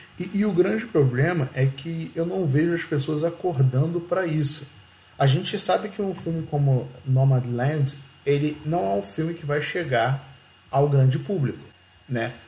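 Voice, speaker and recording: The voice is dark, mellow and somewhat breathy, moving at a fairly slow pace with ordinary pitch variation. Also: man, fairly high pitch for a man. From Rio de Janeiro, Brazil. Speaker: podcast host. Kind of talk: casual chat.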